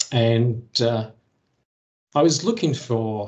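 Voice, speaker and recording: Somewhat breathy, a man with an English accent speaks with ordinary pitch variation. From England. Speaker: Excel presenter; presenter. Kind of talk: technical presentation. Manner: hesitant, many fillers. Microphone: video call.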